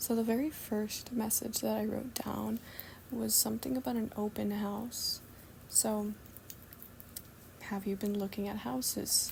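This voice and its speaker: The voice is soft-spoken with a calm tone and a fairly slow pace. Long, frequent pauses break up the speech. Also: woman. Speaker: spiritual channeler doing readings. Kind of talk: channeled message reading. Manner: slow, soft-spoken; calm, cozy.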